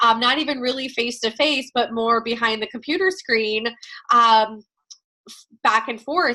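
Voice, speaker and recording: A loud woman's voice, fairly high in pitch, bright and sharp in tone, with ordinary pitch variation. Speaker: network marketing team leader. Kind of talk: team training call. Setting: video call. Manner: loud and chatty.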